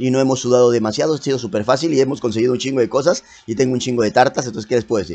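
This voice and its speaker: A man with a Mexican accent at a medium pitch, talking at a very fast pace. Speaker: gaming youtuber. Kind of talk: gameplay commentary. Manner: casual.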